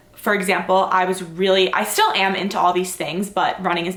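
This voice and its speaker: Audible room echo surrounds a woman talking at medium pitch and a moderate pace. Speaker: fitness vlogger. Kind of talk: casual vlog Q&A. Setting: home, filmed on tripod at night. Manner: rambling, casual, many fillers.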